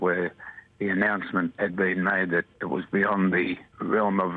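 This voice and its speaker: The pace is fairly slow, with monotone, flat intonation. Noticeable background noise runs underneath. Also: man. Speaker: former flight purser. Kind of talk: interview recollection. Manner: emotional, slightly shaky at times.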